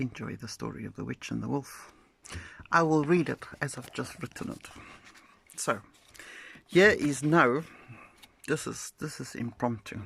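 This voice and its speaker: A woman with a South African accent at a moderate pace, in a dry, close sound with no echo. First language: Afrikaans. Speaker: poet and social media creator. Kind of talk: casual storytelling monologue. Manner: animated.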